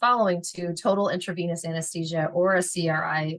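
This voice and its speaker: A woman with a Philadelphia accent at a fairly quick pace. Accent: Philadelphia American. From Philadelphia, US. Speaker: veterinary technician educator. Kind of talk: lecture. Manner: fast; animated.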